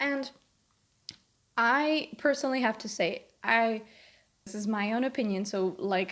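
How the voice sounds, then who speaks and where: A woman's fairly high voice with a non-native accent, on a very clean recording with a silent background. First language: not English. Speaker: video commentator. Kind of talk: casual commentary video.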